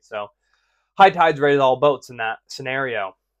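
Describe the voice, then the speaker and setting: A man at a moderate pace against a quiet background. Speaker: podcast recap vlogger. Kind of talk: casual vlog chat. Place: home room.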